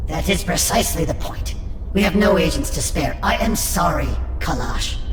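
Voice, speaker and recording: A cartoonish character voice at a moderate pace, with clear echo and loud background noise. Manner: cold, formal.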